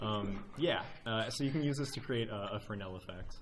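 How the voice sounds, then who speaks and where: A man speaks with audible echo from the room. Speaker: volunteer speaker at game developer meetup. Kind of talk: technical show-and-tell presentation. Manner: fast; casual with many filler words.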